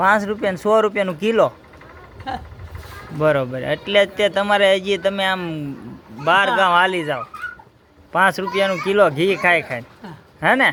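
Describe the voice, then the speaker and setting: A man speaks in a raised, projected voice at a high pitch with ordinary pitch variation. Noticeable background noise sits behind him. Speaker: village vlogger. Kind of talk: casual interview questions.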